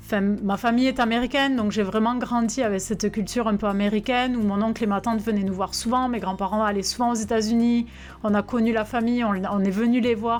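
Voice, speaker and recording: Very fast and at a fairly high pitch, a woman speaks with monotone, flat intonation and very even loudness. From southwest France (Albi, Tarn). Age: 30s. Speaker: French expatriate in the US. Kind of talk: testimony. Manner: halting.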